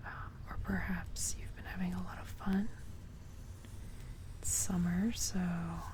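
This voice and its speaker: Someone whispers at a fairly slow pace, leaving long, frequent pauses. Noticeable noise sits in the background. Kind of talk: ASMR talk.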